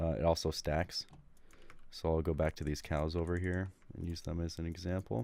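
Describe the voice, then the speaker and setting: In a very clean recording with a silent background, a man speaks with a very deep, low pitch and a dark, mellow tone. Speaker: gaming guide creator. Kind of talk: tutorial. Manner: casual, filler-heavy.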